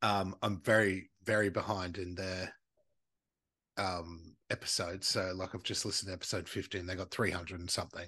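A man's very deep, low voice in an Australian accent, bright and sharp in tone, animated and at a fairly quick pace against a quiet background. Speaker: podcast host. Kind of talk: true-crime storytelling over drinks, casual chat. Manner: animated, jokey, swears.

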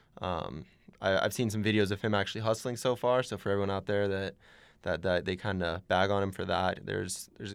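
In a very clean recording with a silent background, a man speaks with an American accent in a normal speaking voice. His pitch is fairly low, his intonation fairly even, and his pace fairly quick. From Arizona. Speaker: student radio intern. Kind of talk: casual chat. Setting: studio.

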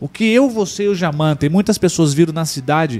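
Fairly quick speech with ordinary pitch variation. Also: man. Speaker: live TV show co-host. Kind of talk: casual chat. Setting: studio.

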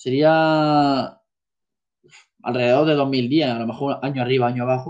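A medium-pitched man speaks at a moderate pace with fairly even intonation. His loudness swings widely, and he takes long, frequent pauses. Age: 20s. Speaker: amateur football goalkeeper. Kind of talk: casual chat.

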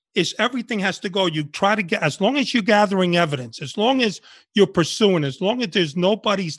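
A man's high-pitched voice in a New York accent, fairly quick, dry and close with no echo, over a quiet background. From New York City (Washington Heights, Bronx), born in Cuba. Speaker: retired undercover FBI agent. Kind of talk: interview.

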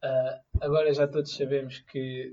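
A man with a Lisbon accent speaks in a fairly high pitch for a man, somewhat breathy. His intonation stays monotone and flat. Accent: European Portuguese, Lisbon area. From Portugal, Amadora area. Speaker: podcast co-host. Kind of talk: casual chat.

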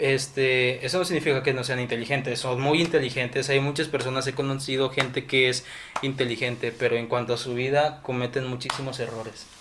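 A medium-pitched man's voice in a flat monotone at a fairly quick pace, with noticeable background noise. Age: 20s. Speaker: civil engineering student. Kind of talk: casual chat.

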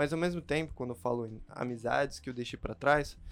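With music playing behind him, a man speaks at a fairly high pitch, his pitch varying in an ordinary way. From Chile and the Philippines. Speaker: pharmacy student. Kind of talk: casual chat.

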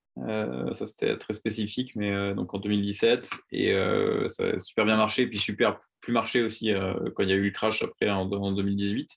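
Against a quiet background, a man with a fairly low pitch and ordinary pitch variation speaks at a fairly slow pace. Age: 20s. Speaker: startup co-founder. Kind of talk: interview conversation. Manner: halting, many repeated words and fillers.

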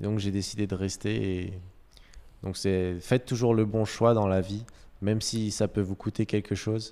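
Monotone and flat, a man speaks at a fairly slow pace in a fairly low pitch with a dark, mellow tone. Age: 20s. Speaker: business school graduate. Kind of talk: testimony.

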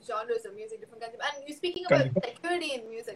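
With a Tamil accent, the voice moves through very wide pitch swings. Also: woman. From Chennai, India. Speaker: podcast guest. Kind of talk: casual chat. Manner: animated.

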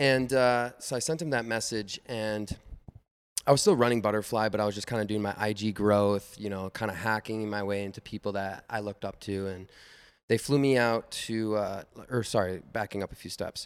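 A man with an American accent speaks at a moderate pace in an unremarkable speaking voice. His fairly low pitch holds fairly even intonation on a very clean recording with a silent background. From Minnesota, US Midwest. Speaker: head of content at an art company. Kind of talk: casual chat.

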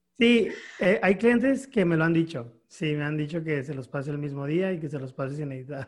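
Speaking at a moderate pace, a man with an ordinary speaking voice and a fairly high pitch uses lively intonation. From Mexico, Mexicali, Baja California. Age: 30s. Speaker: photographer. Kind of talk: interview. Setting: video call.

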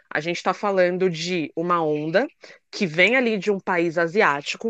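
Against a quiet background with a dry, close sound and no echo, a woman speaks fairly slowly in a bright, sharp tone at a fairly low pitch, with ordinary pitch variation. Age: 30s. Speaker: writer and K-pop content producer. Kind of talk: casual chat. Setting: live audio room.

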